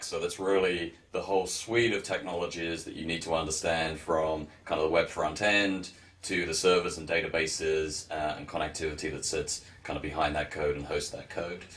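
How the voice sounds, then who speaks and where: A man with a non-native accent at a moderate pace. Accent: non-American, noticeable. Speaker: university business program director. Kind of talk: educational presentation.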